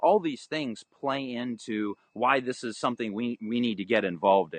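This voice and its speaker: Medium in pitch and with ordinary pitch variation, a man with an unremarkable speaking voice talks fairly quickly. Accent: American. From US, Florida (Orlando). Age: 30s. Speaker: aquaponics farmer. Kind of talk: interview.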